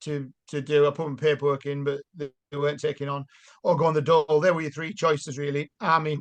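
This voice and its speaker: A man with a Yorkshire accent talks at a very fast pace and a fairly high pitch, the sound dry and close with no echo. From South Yorkshire. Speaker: army veteran and mayoral candidate. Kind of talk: casual interview.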